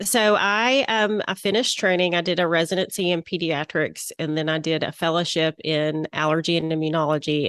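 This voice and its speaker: Against a quiet background, a woman with a Southern US accent speaks in a fairly low pitch, the sound dry and close with no echo. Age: 40s. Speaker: interior designer, former physician. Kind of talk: interview.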